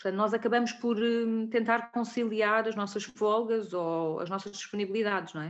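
A woman speaks in a plain, everyday voice, fairly high in pitch with fairly even intonation. Her pace is moderate against a quiet background. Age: 30s. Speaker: clinical lab technician. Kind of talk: interview.

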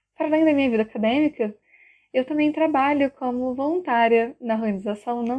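Her voice is high-pitched, with ordinary pitch variation, as this woman speaks at a moderate pace. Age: 20s. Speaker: university student. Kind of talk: prepared opinion statement.

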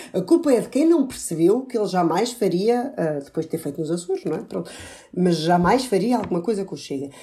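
Somewhat breathy and dark, mellow in tone, a woman speaks at medium pitch and a fairly quick pace with very wide pitch swings. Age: young. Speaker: political commentator. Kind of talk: political panel discussion.

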